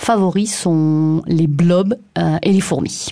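The voice has a dark, mellow tone. It carries a southern French accent. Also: woman. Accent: southern French (Occitan). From southwest France, Aveyron. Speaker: scientist. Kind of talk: radio portrait interview.

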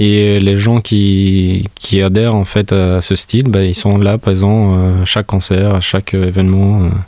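Very slow and monotone, a man speaks at a fairly low pitch with a dark, mellow tone and very even loudness. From Albania, Tirana. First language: Albanian (speaking French). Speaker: musician. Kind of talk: interview monologue. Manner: halting.

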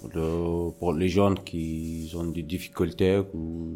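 A man's very deep, low voice, dark and mellow in tone, with monotone, flat intonation. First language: not French (speaking French). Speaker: trainee youth worker. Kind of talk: interview. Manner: halting.

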